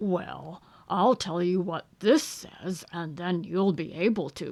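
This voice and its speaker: A put-on character voice, female-sounding and raspy, at a middle pitch and a fairly slow pace. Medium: read story. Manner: pompous, self-assured.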